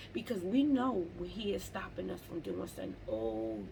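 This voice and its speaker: Amid noticeable background noise and audible room echo, a woman talks at a moderate pace in an animated tone. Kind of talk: faith-based motivational monologue. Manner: occasional stumbling over words.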